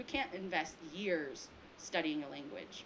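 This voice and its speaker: An American accent at a moderate pace, ordinary pitch variation, and noticeable background noise. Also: woman. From US, Taiwanese American family. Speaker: filmmaker on a panel. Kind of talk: panel discussion. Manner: casual, many fillers.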